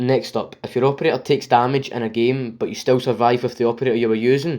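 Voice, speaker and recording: A man with a Scottish accent talks at a very fast pace. His pitch is medium and his intonation fairly even. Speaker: gaming YouTuber. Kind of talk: game review. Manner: scripted reading; stuttering, unscripted in parts.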